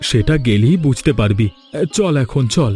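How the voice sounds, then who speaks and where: A man puts on a gruff character voice at medium pitch with lively intonation. He keeps a moderate pace while faint music plays in the background. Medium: cartoon. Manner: gruff, curt.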